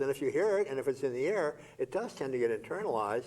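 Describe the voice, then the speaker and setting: A man speaks with a dark, mellow tone. His pitch varies an ordinary amount. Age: 80s+. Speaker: retired scholar and writer. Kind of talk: TV interview.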